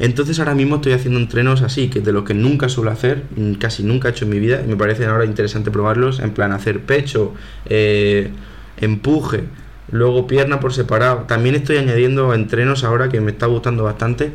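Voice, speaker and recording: Very fast speech with very even loudness and fairly even intonation, plus audible room echo and noticeable background noise. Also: man, medium pitch for a man. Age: 20s. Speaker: podcast host, university student. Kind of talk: casual solo monologue. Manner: informal, conversational.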